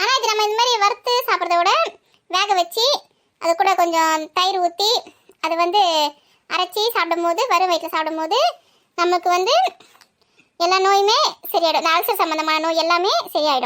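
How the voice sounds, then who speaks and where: A woman does a put-on character voice that is squeaky and extremely high in pitch. She speaks at a moderate pace. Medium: comedy sketch. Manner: explanatory, instructive.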